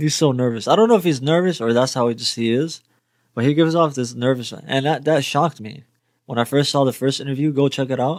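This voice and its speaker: With a slight Arabic accent, a man talks at a very fast pace in a fairly high pitch with ordinary pitch variation. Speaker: music reaction youtuber. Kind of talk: reaction video commentary.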